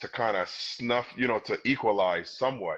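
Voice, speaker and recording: With an American accent, a man speaks using fairly even intonation. The background is quiet. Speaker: former basketball player. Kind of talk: casual interview.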